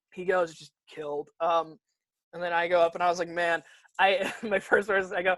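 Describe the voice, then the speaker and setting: A man speaks with a Michigan accent. His pitch is high. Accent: Midwestern American (Michigan). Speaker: stand-up comedian. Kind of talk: casual chat. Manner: fast.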